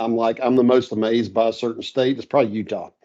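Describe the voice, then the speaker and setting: With a North Carolina accent, a man talks in a dark, mellow tone. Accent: North Carolina Southern. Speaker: steel software integration expert. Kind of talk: casual podcast interview. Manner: casual, relaxed.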